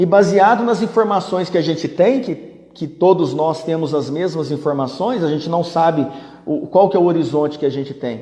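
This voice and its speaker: A man with a high pitch talks at a moderate pace and ordinary pitch variation amid noticeable background noise. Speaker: business management teacher. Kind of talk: live-stream Q&A. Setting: live stream. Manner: conversational.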